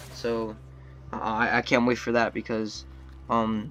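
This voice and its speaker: The voice belongs to a man. Background noise is noticeable. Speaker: gaming commentator. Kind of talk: gameplay commentary. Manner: stuttering, many filler words.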